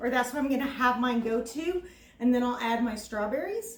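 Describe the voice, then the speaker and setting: A woman speaks with an American accent at a fairly high pitch. Her intonation stays fairly even. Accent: Texas accent, comes out on some words. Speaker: cooking video host. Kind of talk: cooking tutorial. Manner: casual, filler-heavy.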